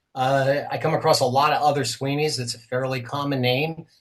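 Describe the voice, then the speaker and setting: At a moderate pace, the somewhat breathy speaker keeps the intonation fairly even. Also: man. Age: 50s. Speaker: retired business owner turned cartoonist and blogger. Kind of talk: interview.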